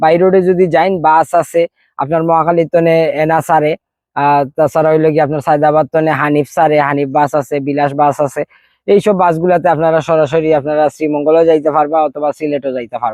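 The voice keeps a fairly even intonation against a quiet background. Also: man, fairly high pitch for a man. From Sreemangal, Sylhet, Bangladesh. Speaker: real estate project representative. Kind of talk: promotional tourism talk.

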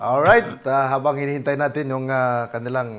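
At a moderate pace, a man with a normal speaking voice talks in a fairly high pitch with fairly even intonation. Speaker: debate moderator. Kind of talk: moderating a debate.

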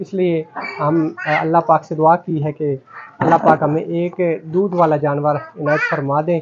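This man's fairly high voice barely moves in pitch and carries a slightly husky edge. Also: fairly slow pace.

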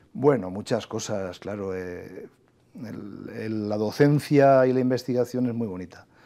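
A dark, mellow tone comes through at a fairly slow pace, with ordinary pitch variation and big swings in loudness over a quiet background. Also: man. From Spain, inland Valencia (Requena, Castilian-speaking); Valencia, Spain. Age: 40s. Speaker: government official and agricultural engineering professor; agricultural engineering professor. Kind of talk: TV interview. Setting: TV studio. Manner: hesitant, many fillers. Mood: calm, reflective. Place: studio. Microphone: lapel.

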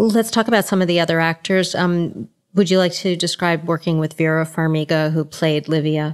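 With very even loudness and ordinary pitch variation, an unremarkable speaking voice keeps a moderate pace. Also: woman, fairly low pitch for a woman. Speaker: entertainment journalist and podcast host. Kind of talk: interview.

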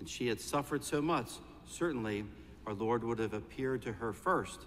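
A man's voice at a moderate pace with ordinary pitch variation, over light background noise. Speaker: priest. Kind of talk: sermon. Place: church.

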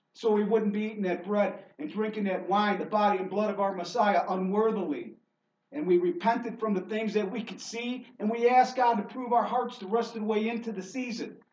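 Speaking at a fairly quick pace, a man with a high pitch and ordinary pitch variation is heard with audible room echo. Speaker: preacher. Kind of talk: sermon. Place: church. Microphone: camera far.

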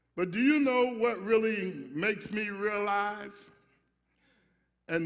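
Against a quiet background, a man with a high pitch speaks at a very slow pace with ordinary pitch variation. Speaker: pastor. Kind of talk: sermon. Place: church. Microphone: podium.

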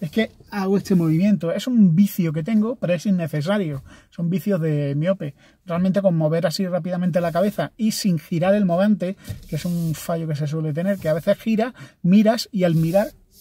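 A man's high-pitched voice with ordinary pitch variation and a dry sound with no echo. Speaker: learner driver vlogger. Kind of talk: casual vlog chat. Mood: cheerful, relaxed. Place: car. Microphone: phone near.

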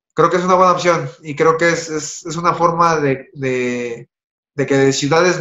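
Audible room echo fills the quiet background. A man speaks at a fairly slow pace with fairly even intonation. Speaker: remote guest. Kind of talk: interview answer. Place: home room. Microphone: video call.

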